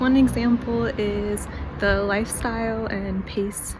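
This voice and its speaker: Noticeable background noise runs through this clip. A woman talks with an American accent. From United States. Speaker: vlogger. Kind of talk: casual talk to camera.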